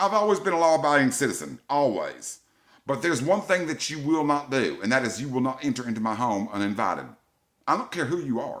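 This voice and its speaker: Talking at a very fast pace, a man with a fairly high pitch sounds animated, his intonation lively. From US South. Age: 50s. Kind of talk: angry rant to camera.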